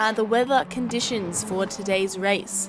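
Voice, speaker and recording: Moderate pace and ordinary pitch variation, over noticeable background noise. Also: woman. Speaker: sim racing broadcast commentator. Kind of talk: live commentary. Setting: live stream.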